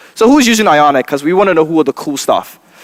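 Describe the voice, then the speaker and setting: A man's very fast speech with a Nigerian accent. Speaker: software developer and trainer. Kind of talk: conference tech talk. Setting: stage with audience. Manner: casual, joking.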